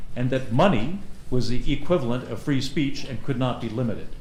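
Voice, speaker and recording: A man talks at a moderate pace with ordinary pitch variation. Noticeable background noise and audible room echo fill the recording. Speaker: forum moderator. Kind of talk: event moderation speech. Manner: loud.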